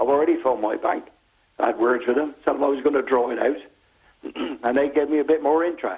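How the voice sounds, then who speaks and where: A man talks at a very fast pace in a fairly high pitch, with fairly even intonation and very even loudness. Long, frequent pauses break up his speech. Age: 60s. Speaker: pensioner caller. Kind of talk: phone-in call. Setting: phone call.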